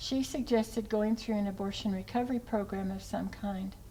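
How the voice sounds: At a fairly slow pace, a woman speaks with a dark, mellow tone, medium pitch and fairly even intonation.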